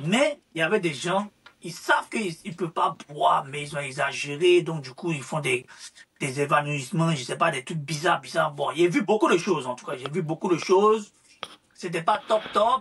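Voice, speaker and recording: This man talks at a moderate pace in a high voice, his loudness swinging widely. His pitch varies in an ordinary way, with music playing in the background. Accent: Ivorian. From Ivory Coast. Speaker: social media influencer. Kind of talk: interview. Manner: hesitant, repetitive.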